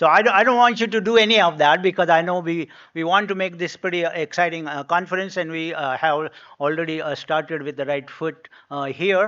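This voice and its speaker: His pitch is high for a man, with ordinary variation. He speaks at a fairly quick pace. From India (Pune). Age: 70s. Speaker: economics professor. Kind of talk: welcome address. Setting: conference hall with audience. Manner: halting, many fillers.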